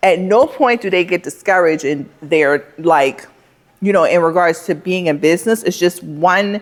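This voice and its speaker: A woman with a fairly low pitch speaks in an animated tone at a moderate pace, with ordinary pitch variation. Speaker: plant shop owner, vlogger. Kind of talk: vlog talking to camera.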